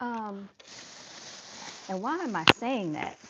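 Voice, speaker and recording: A woman talks with lively intonation at a fairly high pitch. Noticeable background noise sits behind her. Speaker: livestream host. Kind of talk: casual livestream commentary.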